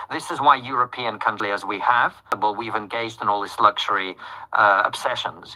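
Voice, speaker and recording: Noticeable background noise sits under a man speaking with a British accent. He talks at a fairly quick pace with fairly even intonation. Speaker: political commentator. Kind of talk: interview.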